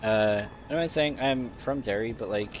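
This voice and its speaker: A man speaks with a Dublin accent. His pace is fairly slow, with ordinary pitch variation. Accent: Dublin Irish. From Ireland, Dublin (Tallaght). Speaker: video game streamer. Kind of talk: casual livestream gameplay commentary. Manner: animated.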